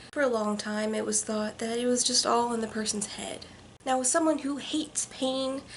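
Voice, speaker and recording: Noticeable background noise surrounds a woman with a high pitch. Her intonation stays fairly even. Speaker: vlogger. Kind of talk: vlog monologue. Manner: fast.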